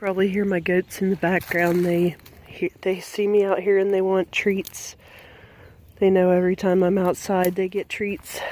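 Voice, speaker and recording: A woman at medium pitch, moderate pace, and monotone, flat intonation. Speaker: scout leader and hiker. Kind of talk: tutorial. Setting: outdoors.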